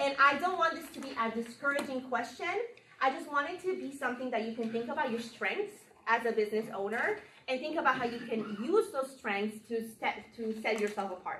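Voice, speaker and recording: Loud and lively, a woman with a Spanish accent speaks at a fairly quick pace in a high pitch. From Colombia. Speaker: marketing workshop presenter. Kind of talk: workshop presentation.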